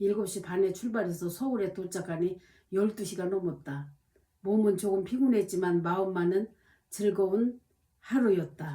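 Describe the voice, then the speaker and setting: A woman speaks at a medium pitch in a somewhat breathy voice with a dark, mellow tone. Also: ordinary pitch variation, fairly slow pace. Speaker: diary-reading vlogger. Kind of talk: reading aloud own diary with spoken asides. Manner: hesitant, many fillers.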